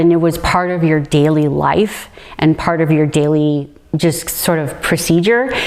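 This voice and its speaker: Noticeable background noise sits behind a woman's voice. She speaks in a fairly low pitch with fairly even intonation. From Hawaii and Orlando, Florida (military family). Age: 40s. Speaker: storyteller interviewee. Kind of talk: personal life story. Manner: casual, conversational.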